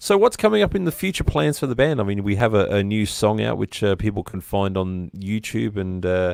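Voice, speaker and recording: Speaking with an Australian accent, a man keeps a fairly low pitch and ordinary pitch variation. His pace is fairly quick, with hardly any pauses. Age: 40s. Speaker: live stream interview host. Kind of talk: casual chat.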